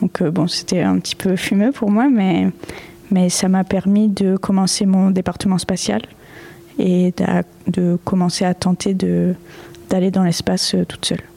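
A woman at medium pitch, very slow in pace, with very even loudness and fairly even intonation, over noticeable background noise. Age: 20s. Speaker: digital artist. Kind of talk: interview. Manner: halting.

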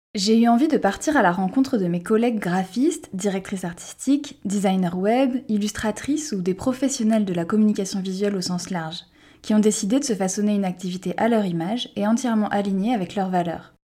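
On a very clean recording with a silent background, a woman speaks fairly quickly in a dark, mellow tone, somewhat breathy, at medium pitch with ordinary pitch variation. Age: 30s. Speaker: podcast host and art director. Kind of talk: scripted podcast introduction.

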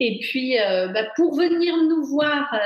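A woman speaks very slowly, her pitch varying an ordinary amount. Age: 40s. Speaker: personal development author and speaker. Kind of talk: casual interview. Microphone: unstable connection, video freezing.

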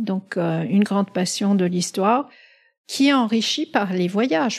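Somewhat breathy and fairly slow, a woman speaks at a medium pitch. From Middle East. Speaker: pharmaceutical executive. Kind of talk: interview. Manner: halting.

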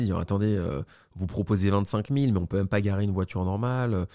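A man with a fairly low pitch and a dark, mellow tone talks very fast. His pitch varies in an ordinary way, and the recording is very clean with a silent background. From Burgundy, France. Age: 30s. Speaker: real estate investor. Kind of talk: casual interview. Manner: animated.

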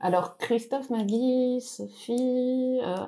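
Dark, mellow tone from a female speaker, with ordinary pitch variation. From Belgium. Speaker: yoga podcaster. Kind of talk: game show banter.

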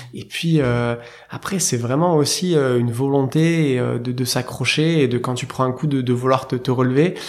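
A man talks fairly slowly. Noticeable noise is heard behind him. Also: medium pitch for a man, fairly even intonation. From southern France, near Marseille. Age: 30s. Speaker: startup founder and CEO. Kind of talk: interview conversation. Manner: hesitant, many fillers.

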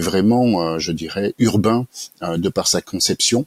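The speech comes very slowly with ordinary pitch variation, in a dry, close sound with no echo. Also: man. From France, Haute-Savoie. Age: 50s. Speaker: start-up founder. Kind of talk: interview. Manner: hesitant, many fillers.

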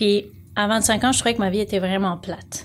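A woman's medium-pitched voice comes out monotone, with flat intonation. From France, Lyon. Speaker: life coach. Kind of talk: casual interview.

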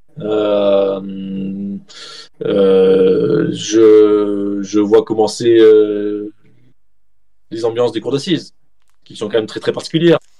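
Noticeable background noise sits behind a man talking at a fairly low pitch. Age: 40s. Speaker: journalist and author. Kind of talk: interview.

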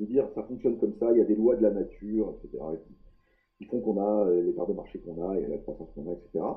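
A man speaks at a fairly quick pace, with big swings in loudness. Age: 50s. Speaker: executive coach and engineer. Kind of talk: podcast interview. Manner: hesitant, repeats words.

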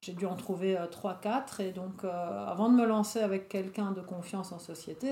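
A woman with a medium pitch and ordinary pitch variation speaks over noticeable background noise. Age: 40s. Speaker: social worker and wellness trainer. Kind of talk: casual interview.

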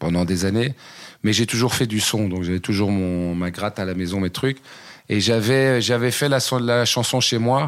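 A man with a plain, everyday voice talks at medium pitch and a moderate pace with ordinary pitch variation on a very clean recording with a silent background. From Belgium, Brussels area (Waterloo). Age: 40s. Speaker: rapper and comedian. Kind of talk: casual interview.

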